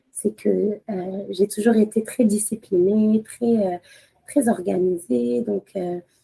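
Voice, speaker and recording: At a very slow pace, a woman speaks with a medium pitch, a dark, mellow tone, lively intonation and a somewhat breathy quality. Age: 30s. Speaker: lawyer and mother. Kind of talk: podcast interview. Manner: hesitant, many fillers, code-switching with Arabic.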